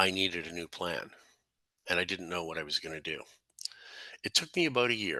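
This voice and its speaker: A man's very deep, low voice with a bright, sharp tone, a fairly quick pace and a quiet background. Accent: Canadian. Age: 60s. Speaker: real estate investor and coach. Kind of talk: personal story presentation.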